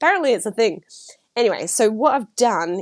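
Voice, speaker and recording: A woman speaks at a very fast pace. She has an Australian accent. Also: quiet background. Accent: Australian twang. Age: 30s. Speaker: podcast host and writer. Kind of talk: casual solo podcast chat. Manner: chatty, filler-heavy.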